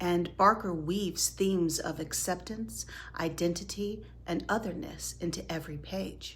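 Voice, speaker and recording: Her pitch sits fairly low for a woman. Vocal fry runs through her speech. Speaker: horror podcast host. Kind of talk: horror movie and book discussion narration. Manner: theatrical, dramatic.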